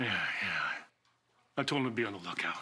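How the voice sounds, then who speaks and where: A raspy, put-on character voice from a man at a moderate pace, in a very clean recording with a silent background. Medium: short film.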